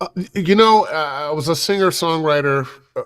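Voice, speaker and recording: With an American accent and lively intonation, a man talks at a moderate pace in a plain, everyday voice. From Ohio, US Midwest (Cleveland). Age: 60s. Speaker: voiceover artist and former radio DJ. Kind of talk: interview.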